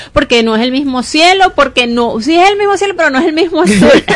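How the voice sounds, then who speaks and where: Lively intonation from a woman at a fairly quick pace. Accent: Venezuelan. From Venezuela, Barquisimeto. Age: 40s. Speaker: real estate agent. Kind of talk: radio interview. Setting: radio studio.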